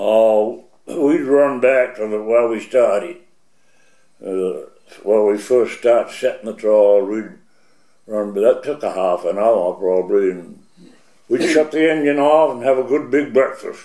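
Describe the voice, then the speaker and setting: Speaking at a fairly slow pace, a man talks with a coastal Maine accent. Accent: Maine coastal New England. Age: 80s+. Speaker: retired fisherman. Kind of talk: oral history interview.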